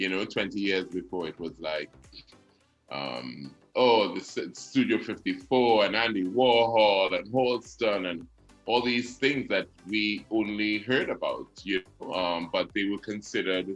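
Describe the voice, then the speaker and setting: Over music in the background, a man with a fairly low voice talks at a fairly slow pace and with ordinary pitch variation. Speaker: radio personality and announcer. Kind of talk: interview answer.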